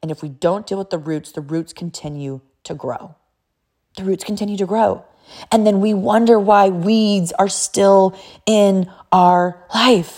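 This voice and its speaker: A woman with a medium pitch and an animated tone talks at a fairly slow pace, using ordinary pitch variation and big swings in loudness. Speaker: podcast host, mother. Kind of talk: monologue.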